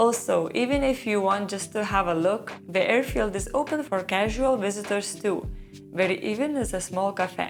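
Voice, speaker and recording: Music plays in the background. A woman speaks over it at a moderate pace with a medium pitch. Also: ordinary pitch variation. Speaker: travel vlogger. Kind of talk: travel guide narration.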